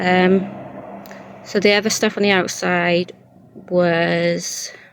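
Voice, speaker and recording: A woman's fairly low pitch and fairly even intonation, with noticeable background noise. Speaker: crochet vlogger. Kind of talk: casual vlog. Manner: soft-spoken.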